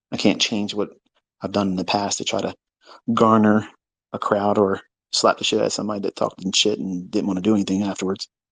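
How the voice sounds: Speaking at a fairly quick pace, a man's fairly low voice has a fairly bright tone, a slightly husky edge and little pitch movement.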